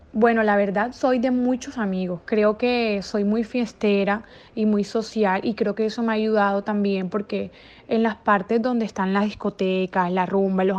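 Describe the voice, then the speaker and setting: With a quiet background, a woman uses an ordinary speaking voice at medium pitch, moving at a moderate pace with fairly even intonation. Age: 20s. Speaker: interviewee, bar waitress. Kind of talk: interview.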